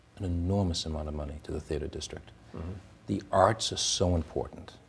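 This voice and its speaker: In an American accent, a man with a very deep, low pitch speaks with a somewhat breathy voice and fairly even intonation. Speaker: TV talk show host. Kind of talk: TV talk show. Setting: studio.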